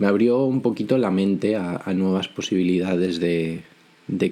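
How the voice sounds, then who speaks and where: A man speaks at a moderate pace with a very deep, low pitch. His tone is dark and mellow. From Spain, Galicia (Vigo). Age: 20s. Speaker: podcast host. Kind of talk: solo podcast monologue. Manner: frequent hesitations and repetitions.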